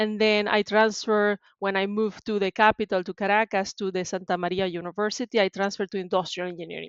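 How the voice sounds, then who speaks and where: A woman with a Venezuelan accent talks very fast, with hardly any pauses, in a monotone, flat intonation. The background is quiet and the sound is dry and close, with no echo. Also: medium pitch for a woman. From Venezuela, Maracaibo. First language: Spanish. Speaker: tech sales professional. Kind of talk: interview.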